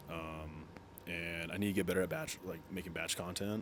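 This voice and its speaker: Room echo can be heard. The speaking pace is moderate. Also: man. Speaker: military cook and fitness content creator. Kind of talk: casual chat to camera. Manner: halting, many fillers and restarts.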